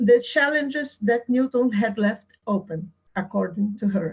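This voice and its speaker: The woman's pitch is high, with ordinary variation. She speaks with a non-native accent. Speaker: philosophy researcher. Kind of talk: lecture. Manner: slow; halting.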